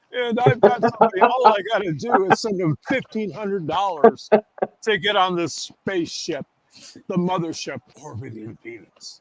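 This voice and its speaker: A man with a high pitch talks at a moderate pace, his intonation lively and his loudness swinging widely. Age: 70s. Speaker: guest on spiritual talk show. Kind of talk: casual chat.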